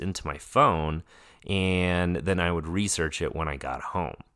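On a very clean recording with a silent background, a man speaks with an American accent. His pace is fairly slow and his pitch varies in an ordinary way. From Colorado, US. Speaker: podcast co-host, new doctor. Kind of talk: casual chat.

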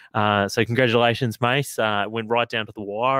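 Speaking at a fairly quick pace with an Australian accent, a man uses a fairly low pitch and monotone, flat intonation in a dry, close sound with no echo, on a very clean recording with a silent background. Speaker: football podcast host. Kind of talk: casual chat. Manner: halting, many fillers.

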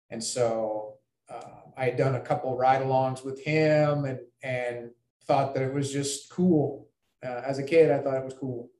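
Speaking in a US Midwestern accent, a man with medium pitch talks fairly slowly in a monotone, flat intonation, with big swings in loudness. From Iowa, Ames. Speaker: federal law enforcement agent. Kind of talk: interview. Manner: halting, many fillers.

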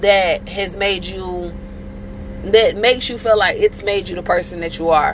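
A woman with a medium pitch talks at a moderate pace amid noticeable background noise. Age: 30s. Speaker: podcast host. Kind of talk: casual monologue.

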